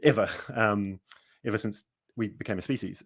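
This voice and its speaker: A man talks fairly quickly with a New Zealand accent. His pitch varies in an ordinary way over a quiet background. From New Zealand, Auckland. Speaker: cosmologist hosting a science livestream. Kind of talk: casual panel discussion on livestream. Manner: halting, many repetitions. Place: home room. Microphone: video call.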